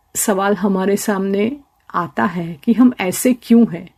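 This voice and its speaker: Somewhat breathy, a woman speaks with a dark, mellow tone at a medium pitch and ordinary pitch variation. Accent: Gujarati. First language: Gujarati (speaking Hindi). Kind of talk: radio interview.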